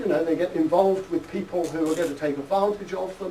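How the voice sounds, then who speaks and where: A man speaks with a British accent. The room echo is audible, and there is noticeable background noise. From United Kingdom. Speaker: psychology professor. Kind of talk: lecture.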